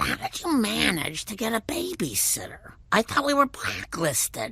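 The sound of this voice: At a moderate pace, a cartoonish character voice speaks in a fairly high pitch.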